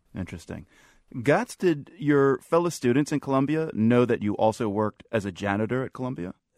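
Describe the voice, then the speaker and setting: Here is a man with an ordinary speaking voice at a medium pitch, using lively intonation at a fairly quick pace. The recording is very clean and dry, close, with a silent background and no echo. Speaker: radio host. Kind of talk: radio interview.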